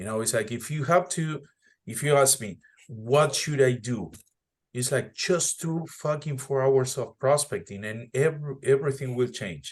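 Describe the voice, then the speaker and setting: A man with a non-native accent sounds somewhat breathy, his loudness swinging widely. The background is quiet. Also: medium pitch for a man, ordinary pitch variation, moderate pace. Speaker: real estate agent and mentor. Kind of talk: casual group meeting talk.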